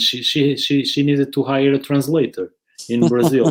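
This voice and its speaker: A man speaks at a fairly slow pace with a Porto accent. His pitch is fairly high, and his intonation is monotone and flat. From Portugal, Porto. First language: Portuguese. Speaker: soccer education platform founder, webinar host. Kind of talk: casual chat, live webinar.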